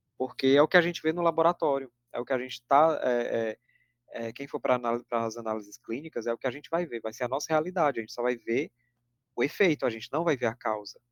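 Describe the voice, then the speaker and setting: The sound is dry and close with no echo as a medium-pitched man talks at a fairly quick pace with ordinary pitch variation. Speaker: teaching assistant tutor. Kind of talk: lecture. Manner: fast.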